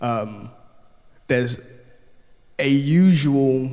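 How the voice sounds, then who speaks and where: A man's medium-pitched voice moves at a very slow pace, with audible room echo. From Ghana. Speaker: youth work apprentice preacher. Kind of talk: sermon. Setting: church.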